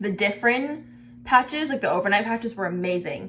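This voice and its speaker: A woman talks with lively intonation. Noticeable background noise sits behind her. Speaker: beauty vlogger. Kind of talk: casual skincare tutorial. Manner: halting, stutters on camera; casual, lots of filler words.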